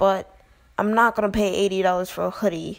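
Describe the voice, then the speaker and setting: A woman speaks quietly at a medium pitch. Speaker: YouTuber commentator. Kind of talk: casual vlog commentary. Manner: quiet, close to the mic; rambling, hesitant. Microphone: very close to the mic.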